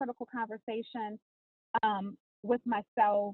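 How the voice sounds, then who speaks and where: A woman with an American accent and an unremarkable speaking voice talks at a moderate pace in a medium pitch. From US South, New Orleans then Atlanta. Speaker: author and reality TV personality. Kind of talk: podcast interview.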